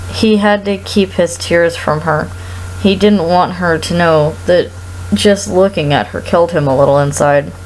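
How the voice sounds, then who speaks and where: Very wide pitch swings run through this woman's very deep, low voice. Background noise can be clearly heard. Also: moderate pace. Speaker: performer. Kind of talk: read story.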